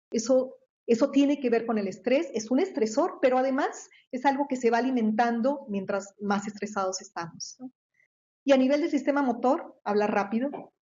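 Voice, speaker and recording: She speaks at a high pitch for a woman, and her pitch varies in an ordinary way. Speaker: researcher and professor. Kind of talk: lecture. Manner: fast; halting, many repetitions.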